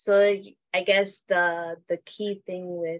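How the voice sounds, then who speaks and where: A woman talks in a monotone with flat intonation and a fairly low pitch. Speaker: podcast host. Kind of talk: casual interview chat.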